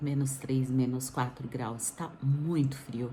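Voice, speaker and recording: A woman speaks at a very deep, low pitch and a very slow pace. Audible room echo surrounds her voice. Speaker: vlogger. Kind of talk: casual vlog. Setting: indoors, wrapped in blanket.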